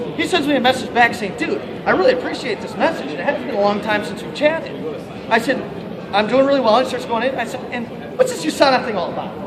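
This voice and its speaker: Over crowd noise and audible room echo, the speech comes at a very fast pace with big swings in loudness. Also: man, extremely high pitch for a man, ordinary pitch variation. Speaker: network marketing distributor. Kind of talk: motivational talk. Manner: animated.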